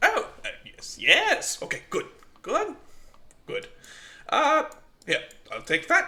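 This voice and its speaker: A man puts on a character voice pitched extremely high. He talks at a fairly slow pace with long, frequent pauses. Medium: actual play. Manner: distracted, brisk.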